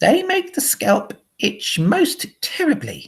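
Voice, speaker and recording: A man puts on a squeaky character voice at an extremely high pitch. He talks at a fairly slow pace. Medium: read story. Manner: firm, matter-of-fact.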